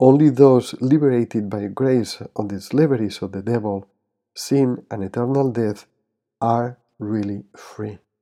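A dark, mellow tone with fairly even intonation, a fairly slow pace and a quiet background. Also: man, medium pitch for a man. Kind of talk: guided prayer meditation. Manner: halting, some stumbles.

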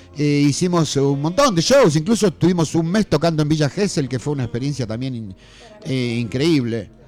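A man's fairly high voice with lively intonation at a moderate pace, music playing in the background. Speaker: rockabilly musician. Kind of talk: radio interview.

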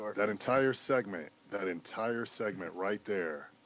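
Talking at a fairly slow pace, a man with a fairly low pitch and ordinary pitch variation has an ordinary speaking voice. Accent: American. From Cleveland, Ohio, US. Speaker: podcast guest, hip hop fan. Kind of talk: casual chat.

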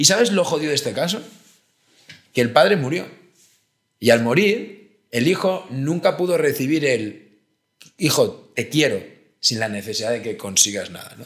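Pausing long and often, a man with a fairly high voice speaks at a moderate pace, with very wide pitch swings and big swings in loudness. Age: 30s. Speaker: philosopher. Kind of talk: casual chat.

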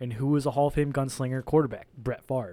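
A man with an unremarkable speaking voice at medium pitch is heard in a very clean recording with a silent background. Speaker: sports podcast co-host. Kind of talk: casual chat.

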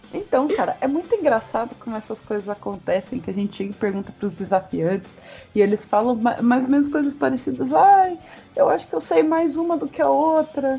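With music in the background, a woman with a high pitch speaks at a fairly quick pace with very wide pitch swings. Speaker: podcast host. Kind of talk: casual chat. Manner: animated.

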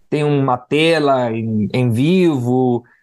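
A man speaks with a Spanish accent against a quiet background. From Guatemala. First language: Spanish (speaking Portuguese). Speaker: podcast host. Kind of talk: interview.

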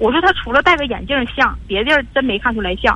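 The voice races along at a very fast pace with lively intonation over noticeable background noise. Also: woman. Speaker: radio call-in caller, divorced mother. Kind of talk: call-in advice conversation. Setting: phone call. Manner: forceful, assertive tone; halting, repetitive.

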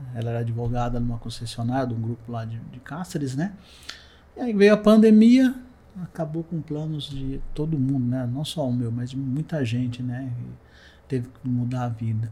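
A man speaks at a moderate pace with ordinary pitch variation. It is an ordinary speaking voice. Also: medium pitch for a man. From interior of São Paulo state, Brazil (Ourinhos). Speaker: civil engineer, illness survivor. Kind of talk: testimony.

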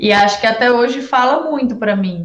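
With an unremarkable speaking voice, a woman speaks at a moderate pace with fairly even intonation. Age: 20s. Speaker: city councillor. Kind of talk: interview.

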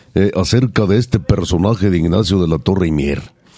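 A man speaks in an animated tone. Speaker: bullfighting and charreria podcast host. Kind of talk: casual chat.

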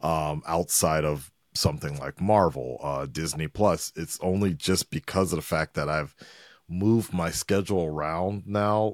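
A man with a Southern Californian accent talks at a fairly slow pace in a very deep, low pitch with ordinary pitch variation. The recording is very clean, with a silent background and a dry, close sound with no echo. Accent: Southern California American. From Los Angeles, North Hollywood. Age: 40s. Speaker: YouTube reaction creator. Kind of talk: casual chat.

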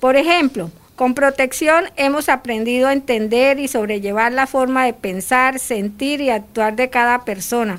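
A woman's high voice, fairly slow, with ordinary pitch variation. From Colombia. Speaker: returned migrant, program participant. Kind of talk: testimony.

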